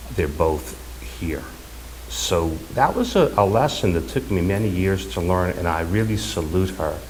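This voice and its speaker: With a very deep, low voice, a man speaks at a moderate pace and with lively intonation. Audible room echo and noticeable background noise surround him. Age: 60s. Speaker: son giving eulogy. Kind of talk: eulogy. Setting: funeral service. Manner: halting.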